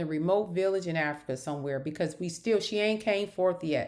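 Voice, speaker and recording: A woman speaks with an American accent. Her tone is animated and her intonation lively. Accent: northern US, noticed by locals. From northern US. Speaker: YouTuber, reality TV commentator. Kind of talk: casual commentary monologue.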